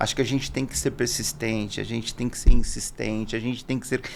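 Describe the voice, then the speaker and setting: A man's medium-pitched voice. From Brazil, interior of São Paulo state. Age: 50s. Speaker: business owner, salesman. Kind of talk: podcast interview. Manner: conversational, informal.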